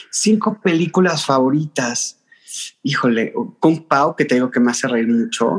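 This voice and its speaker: Speaking at a fairly slow pace, a man with a Mexico City accent has a fairly high pitch, lively intonation, and very even loudness. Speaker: content creator. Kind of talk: casual interview chat.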